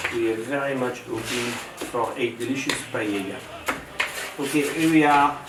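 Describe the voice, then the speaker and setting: This man has a medium pitch and a French accent, with fairly even intonation. Room echo is audible, and there is noticeable background noise. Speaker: chef. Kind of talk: cooking demonstration. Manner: halting.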